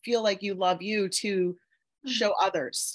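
A fairly slow pace with fairly even intonation. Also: woman. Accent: Mid-Atlantic US. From Pennsylvania, US. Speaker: self-love coach and Reiki practitioner. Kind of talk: interview testimony.

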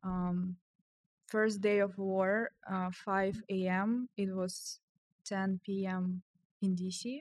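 In a Ukrainian accent, a woman of medium pitch speaks at a very slow pace with monotone, flat intonation and long, frequent pauses, in a dry, close sound with no echo. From Ukraine, Kyiv. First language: Ukrainian or Russian. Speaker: software engineer. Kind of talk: casual chat.

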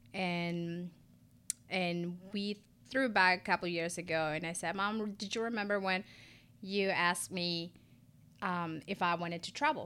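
In a Spanish accent, a woman speaks at a fairly slow pace with a fairly low pitch, a bright, sharp tone, fairly even intonation, and long, frequent pauses. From Ecuador. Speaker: esthetician and lash business owner. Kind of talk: casual interview.

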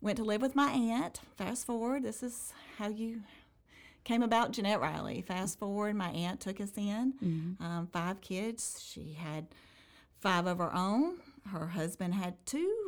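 An unremarkable speaking voice from a woman, medium in pitch, with lively intonation at a fairly slow pace, on a very clean recording with a silent background. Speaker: mayoral candidate. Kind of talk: casual interview.

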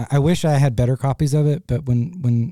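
A man's unremarkable speaking voice at a moderate pace, with ordinary pitch variation. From US Midwest (Ohio). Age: 30s. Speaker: muralist. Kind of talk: casual interview. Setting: studio.

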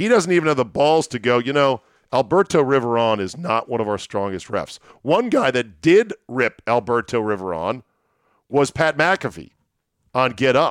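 On a very clean recording with a silent background and a dry, close sound with no echo, a man with an American accent uses a plain, everyday voice at a medium pitch, lively in intonation and moderate in pace. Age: 50s. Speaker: sports podcast host. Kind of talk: solo sports podcast with ad read. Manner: casual, rambling, conversational.

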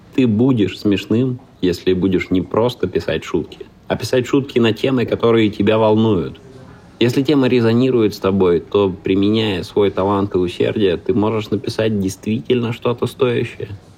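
Moderate pace, ordinary pitch variation and very even loudness, with noticeable background noise. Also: man, fairly low pitch for a man. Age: 30s. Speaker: stand-up comedian and creative producer. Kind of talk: scripted narration.

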